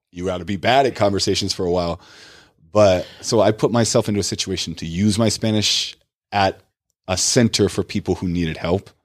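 It's an ordinary speaking voice: a man with a fairly low pitch, talking at a fairly quick pace with fairly even intonation. The recording is very clean, with a silent background. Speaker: English teacher on social media.

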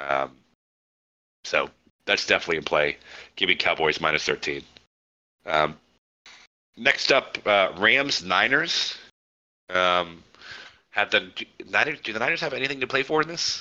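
The voice has a bright, sharp tone with vocal fry and very wide pitch swings, at a moderate pace. Long, frequent pauses break up the speech against a quiet background. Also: man, fairly low pitch for a man. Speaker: sports betting podcast host. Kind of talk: casual chat.

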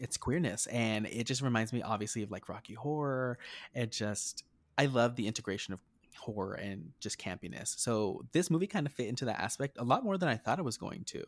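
In an American accent, a man with an ordinary speaking voice talks at a fairly quick pace with medium pitch and lively intonation, recorded with a dry, close sound with no echo. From rural New Mexico near Texas border. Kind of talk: casual chat.

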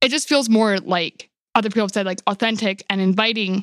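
Fairly quick delivery in a dry, close sound with no echo. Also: woman. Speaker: podcast co-host.

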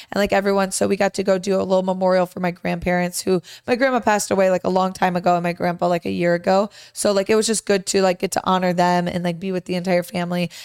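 In a very clean recording with a silent background and a dry, close sound with no echo, a woman with a medium pitch and an American accent speaks very fast in a monotone, flat way. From Michigan. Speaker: podcast co-host. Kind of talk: casual chat.

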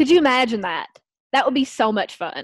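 Her strong Southern US accent comes through as a woman speaks with ordinary pitch variation against a quiet background, the sound dry and close with no echo. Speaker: podcast guest co-host. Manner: giggly, casual, lots of filler words.

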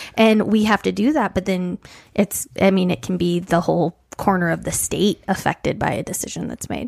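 Here is a woman with a normal speaking voice at medium pitch, talking at a moderate pace. The recording is very clean, with a silent background. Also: ordinary pitch variation, dry, close sound with no echo. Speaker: local podcast co-host. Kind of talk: casual podcast chat.

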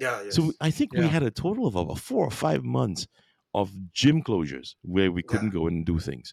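On a very clean recording with a silent background and a dry, close sound with no echo, a man talks at a fairly quick pace in a fairly low voice with vocal fry and very wide pitch swings. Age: 50s. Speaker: podcaster and voice artist. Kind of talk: casual chat.

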